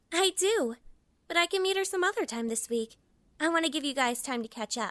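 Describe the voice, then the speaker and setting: A put-on character voice, high and squeaky, with a cheerful tone. It moves at a fairly quick pace. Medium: audio drama. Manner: cheerful, casual.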